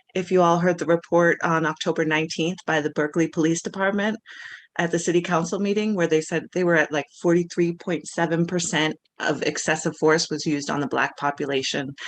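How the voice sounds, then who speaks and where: Over a quiet background, a woman talks at a fairly quick pace in a fairly low pitch with fairly even intonation. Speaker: public commenter. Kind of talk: public comment. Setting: video call. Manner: mumbling.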